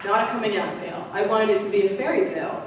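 At a moderate pace and with fairly even intonation, the voice carries strong room echo over light background noise. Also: woman. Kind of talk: public talk. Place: hall.

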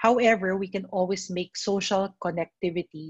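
Somewhat breathy, a woman speaks at a moderate pace with ordinary pitch variation in a dry sound with no echo. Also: quiet background. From Philippines. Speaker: mental health speaker; speaker. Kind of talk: presentation. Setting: video call webinar. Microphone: video call.

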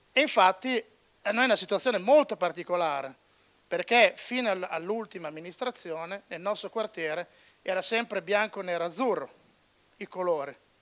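Long, frequent pauses break up speech that moves at a moderate pace with lively intonation. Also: man, high pitch for a man. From Bologna, Italy; Italy. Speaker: sports journalist. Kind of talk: panel debate speech. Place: meeting room. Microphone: handheld.

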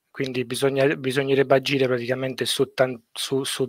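Against a quiet background, a man is heard in a dry sound with no echo. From Sicily, Italy. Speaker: structural engineer; guest. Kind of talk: casual interview on a livestream. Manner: hesitant, many fillers and repetitions. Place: home room. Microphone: headset.

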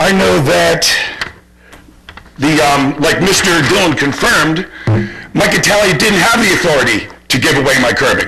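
A man's fairly high voice with lively intonation, very even loudness and a moderate pace, broken by long, frequent pauses, amid audible room echo and noticeable background noise. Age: 60s. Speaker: resident making public comment. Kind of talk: public comment at township meeting. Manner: halting.

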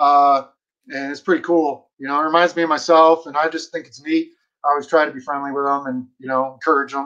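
A man with a fairly high voice and a bright, sharp tone talks at a fairly quick pace. His intonation is monotone and flat, with big swings in loudness over a quiet background. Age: 40s. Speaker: bird dog trainer. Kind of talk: casual interview. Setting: video call. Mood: friendly, smiling, nostalgic. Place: home room. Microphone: video call.

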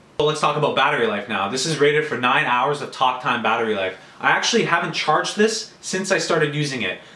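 Room echo is audible as a man speaks at a fairly quick pace with medium pitch. His tone is bright and sharp, and his intonation is lively.

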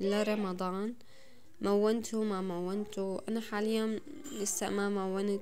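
A woman with a Damascene accent at a very slow pace, in monotone, flat intonation, over light background noise. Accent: Damascene Levantine Arabic. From Syria, Damascus. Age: 20s. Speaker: home vlogger, mother; home vlogger. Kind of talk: casual vlog narration. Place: home room. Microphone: phone near.

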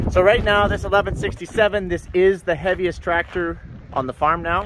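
A man with a dry sound with no echo and noticeable background noise. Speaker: farmer vlogger. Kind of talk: casual vlog chat. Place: farm machine. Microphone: phone near.

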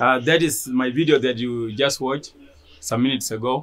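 A man at medium pitch and moderate pace, an ordinary speaking voice. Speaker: refugee athlete. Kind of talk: live online workout session. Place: street. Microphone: phone near.

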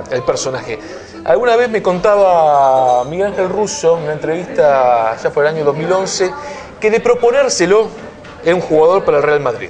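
Clear music plays in the background. A man talks at a high pitch. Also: moderate pace. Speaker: sports journalist. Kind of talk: interview conversation. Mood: animated anecdote telling. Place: cafe.

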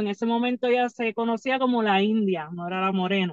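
Against a quiet background, with dry sound and no echo, a woman talks at a moderate pace with ordinary pitch variation. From Puerto Rico. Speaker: professional wrestler; podcast guest. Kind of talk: casual interview. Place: car. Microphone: phone near.

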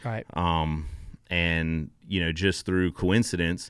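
Over a quiet background, a man speaks in a very deep, low voice with a dry sound with no echo. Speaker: guest. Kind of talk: interview answer. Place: studio. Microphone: studio mic.

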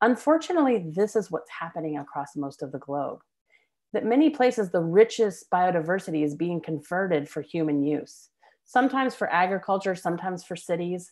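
A woman with a fairly low pitch and lively intonation, at a fairly quick pace, with an American accent over a quiet background. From US South. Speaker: biology professor. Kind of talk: lecture. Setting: video call. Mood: warm, personal storytelling. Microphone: webcam.

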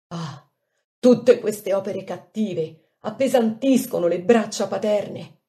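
A woman speaks at a fairly slow pace in a fairly high, somewhat breathy voice with a dark, mellow tone and ordinary pitch variation. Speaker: devotional reader. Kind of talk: reading aloud of a devotional prayer text.

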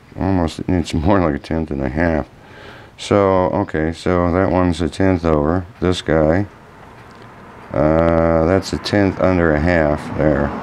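With a very deep, low pitch, a man speaks at a fairly slow pace. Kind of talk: tutorial. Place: workshop. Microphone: camera far.

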